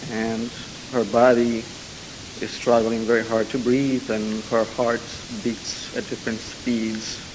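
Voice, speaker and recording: Over noticeable background noise and audible room echo, a man with a medium-pitched voice speaks very slowly in a flat monotone, with long and frequent pauses. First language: Italian. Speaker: audience member asking a question. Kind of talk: question and answer. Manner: hesitant.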